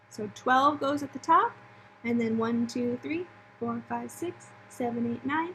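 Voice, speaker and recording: A woman at a fairly slow pace with ordinary pitch variation, over noticeable background noise. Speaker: elementary school teacher. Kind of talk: online lesson for pupils. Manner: casual, filler-heavy.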